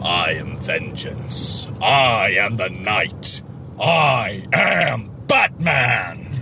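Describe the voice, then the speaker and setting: Putting on a character voice, a man speaks very slowly at a fairly low pitch, with clear background noise behind him. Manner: grim, intense.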